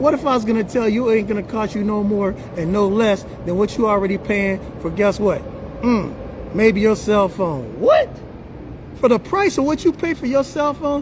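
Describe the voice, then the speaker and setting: An animated man with an American accent speaks in a high voice with ordinary pitch variation. Noticeable background noise is present. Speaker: livestream host and business promoter. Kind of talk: sales pitch. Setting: live stream. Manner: fast.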